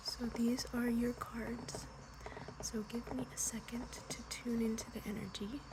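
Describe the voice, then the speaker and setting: Soft-spoken and fairly high-pitched, a woman speaks in a flat monotone at a fairly slow pace over noticeable background noise. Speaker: tarot reader. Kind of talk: ASMR tarot reading, soft-spoken guidance. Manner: soft-spoken, relaxing.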